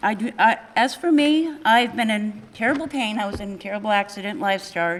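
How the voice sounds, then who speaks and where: A woman speaks in a normal speaking voice at a fairly quick pace. Her intonation is lively. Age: 60s. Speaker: local resident. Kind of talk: public forum comment.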